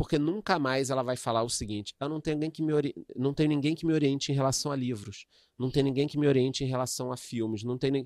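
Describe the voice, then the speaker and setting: With a silent background, this very clean recording captures a man talking very fast. His voice is fairly high, and its pitch varies in an ordinary way. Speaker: economist and investment influencer. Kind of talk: casual interview chat. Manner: animated.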